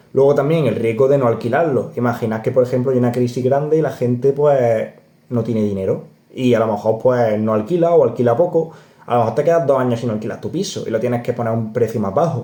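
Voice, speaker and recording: A man speaks very fast at a medium pitch. His tone is dark and mellow, with ordinary pitch variation. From Córdoba, Andalusia, Spain. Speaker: personal finance youtuber. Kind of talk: casual explainer video. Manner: animated, conversational.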